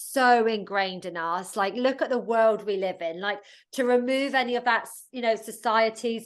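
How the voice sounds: At a fairly quick pace, a woman speaks with a fairly high pitch and ordinary pitch variation.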